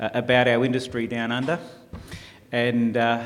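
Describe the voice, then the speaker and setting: A man with an Australian accent talks at a fairly quick pace and medium pitch, with audible room echo. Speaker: taxi industry representative. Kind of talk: conference presentation. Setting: conference stage with audience. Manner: hesitant, many uh fillers; fairly fast.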